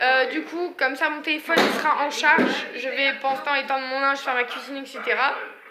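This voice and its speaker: Over noticeable background noise and audible room echo, a woman speaks fairly quickly in a raised, projected voice, high in pitch but monotone and flat in intonation. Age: 20s. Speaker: vlogger, young mother. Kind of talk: casual vlog monologue. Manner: hesitant, many fillers.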